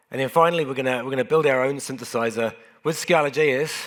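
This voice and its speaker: With a New Zealand accent, a man speaks at a medium pitch and with fairly even intonation. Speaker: software engineer and conference speaker. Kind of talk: conference talk. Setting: stage with audience. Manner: casual, self-deprecating with frequent fillers.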